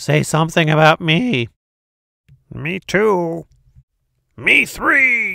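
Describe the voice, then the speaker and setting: Someone uses a put-on character voice at a middle pitch. The delivery is very slow, with long, frequent pauses. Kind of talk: bedtime story. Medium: read story. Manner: lively, squabbling.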